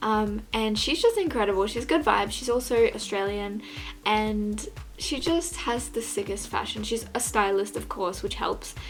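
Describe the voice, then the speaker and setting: Noticeable background noise surrounds a woman's voice. Audible room echo is also present. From Australia, Gold Coast. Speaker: fashion vlogger. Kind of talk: casual vlog chat. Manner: fast; animated.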